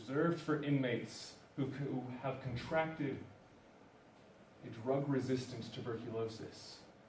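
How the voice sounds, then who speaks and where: Noticeable background noise around a man's fairly slow speech. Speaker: university student. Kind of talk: slam poetry performance.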